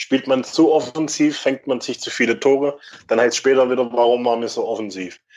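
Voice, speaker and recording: The man talks fairly quickly, his voice at a medium pitch. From Württemberg, Germany (Mühlacker). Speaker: football fan. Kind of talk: casual chat.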